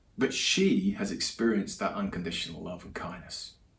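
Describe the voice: Amid audible room echo, a man speaks at a fairly slow pace with lively intonation.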